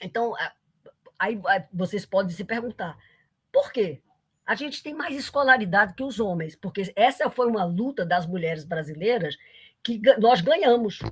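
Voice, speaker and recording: A somewhat breathy woman's voice at a moderate pace, with lively intonation. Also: medium pitch for a woman. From Brazil, Paraíba (Campina Grande). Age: 80s+. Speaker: economics professor. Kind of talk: lecture. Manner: halting, many restarts.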